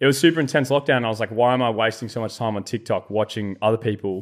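Here a man speaks with an Australian accent at medium pitch. His pace is very fast. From Australia, rural New South Wales-Victoria border. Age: 20s. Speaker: content creator. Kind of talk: casual chat.

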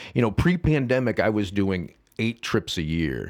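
At a moderate pace, a man with a fairly low pitch and vocal fry speaks with very wide pitch swings. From US Midwest, Saint Charles, Illinois. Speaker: nonprofit founder and agave advocate. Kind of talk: casual chat. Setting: studio.

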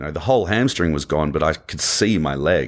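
With an Australian accent, a man speaks at a very deep, low pitch and with lively intonation. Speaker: motivational speaker and former navy diver. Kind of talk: interview.

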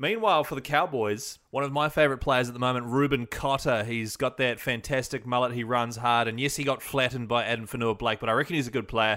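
A man with a New Zealand accent and a bright, sharp tone talks at a very fast pace and medium pitch, with fairly even intonation and hardly any pauses. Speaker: podcast host. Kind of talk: podcast monologue, team news rundown.

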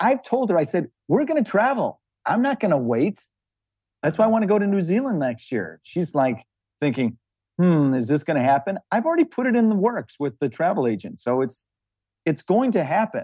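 A man's fairly quick, high-pitched voice, dark and mellow in tone, with very wide pitch swings against a quiet background. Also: dry, close sound with no echo. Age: 60s. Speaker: small business owner. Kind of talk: couples money coaching conversation.

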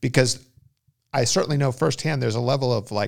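An American accent marks this man's medium-pitched voice, which shows ordinary pitch variation. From Los Angeles, California. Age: 50s. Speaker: writer and former pro surfer. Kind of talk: casual interview conversation. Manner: halting, many restarts and fillers.

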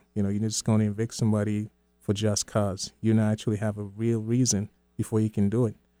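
A man with a fairly low pitch and monotone, flat intonation at a very fast pace, music in the background. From Sierra Leone. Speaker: community organizer. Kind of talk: casual chat. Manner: halting.

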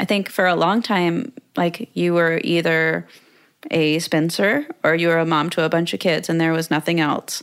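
A woman speaks fairly slowly in an ordinary speaking voice, her fairly low pitch moving with lively intonation. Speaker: podcast host and content creator. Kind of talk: casual interview chat.

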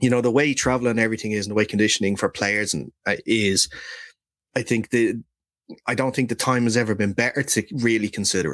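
A man talks at a very fast pace, medium in pitch, with fairly even intonation. The recording is very clean and silent behind him, dry and close with no echo. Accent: Irish. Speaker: NFL podcast host. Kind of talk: casual chat.

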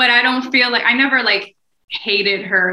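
In a normal speaking voice, a woman with an American accent talks at a moderate pace with ordinary pitch variation. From New Jersey, US. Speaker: podcast co-host and mom. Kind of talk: casual chat.

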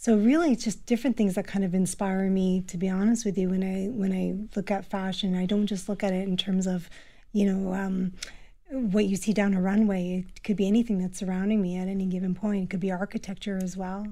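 Recorded very cleanly against a silent background, a woman with a medium pitch and a dark, mellow tone talks at a fairly quick pace in a flat monotone. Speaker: fashion stylist and professor. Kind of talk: radio interview.

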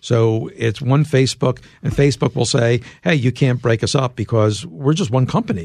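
A normal speaking voice from a man, pitched in the medium range for him, with a moderate pace and ordinary pitch variation. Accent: American. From US Northeast, Philadelphia. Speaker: tech journalist and author. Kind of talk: interview.

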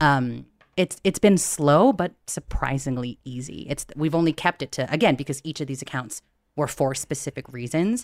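A woman with an American accent speaks in a very deep, low pitch with lively intonation. Her pace is moderate, and the recording is very clean with a silent background. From US, Filipino American family. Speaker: financial podcast host. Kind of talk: casual chat. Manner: animated.

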